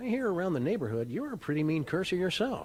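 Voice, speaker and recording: Doing a put-on character voice, a man talks at a very fast pace and high pitch with very wide pitch swings, against clear background noise. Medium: video game. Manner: verbose, dry.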